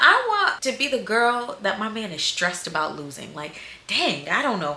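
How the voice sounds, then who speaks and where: An animated woman with an American accent, fairly high-pitched with very wide pitch swings, at a moderate pace amid audible room echo and noticeable background noise. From US South. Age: 20s. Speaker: dating advice vlogger. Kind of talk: casual vlog.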